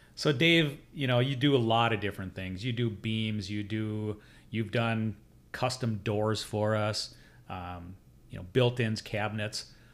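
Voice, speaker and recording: A man's ordinary speaking voice, fairly low in pitch, with ordinary pitch variation and a fairly slow pace. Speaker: podcast host and custom home builder. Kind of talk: casual interview chat. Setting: studio.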